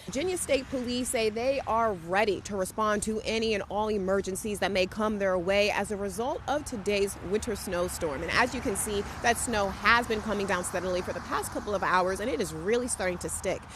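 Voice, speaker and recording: The speaker talks at a fairly quick pace with hardly any pauses and ordinary pitch variation, over noticeable background noise. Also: woman, medium pitch for a woman. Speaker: TV news anchor and reporter. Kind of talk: TV news read. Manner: confident.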